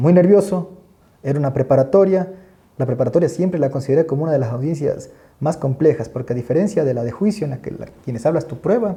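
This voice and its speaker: Speaking at a very fast pace, a man has a fairly high pitch, a dark, mellow tone, a somewhat breathy sound and ordinary pitch variation. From Ecuador, coast (El Oro province). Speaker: criminal court judge and law professor. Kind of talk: podcast interview. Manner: halting, many repetitions.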